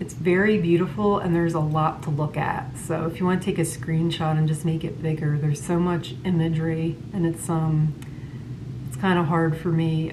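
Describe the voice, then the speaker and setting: A woman with a very deep, low voice speaks at a moderate pace with fairly even intonation. Audible room echo and noticeable background noise are present. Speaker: psychic medium and tarot reader. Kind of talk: tarot reading monologue. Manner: halting, many fillers.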